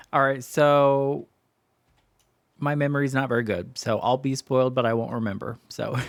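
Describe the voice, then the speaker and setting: Someone with a Midwestern accent speaks at a moderate pace in an animated tone, leaving long, frequent pauses. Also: man, medium pitch for a man. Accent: Midwest. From US Midwest. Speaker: YouTube reactor. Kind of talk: reaction commentary.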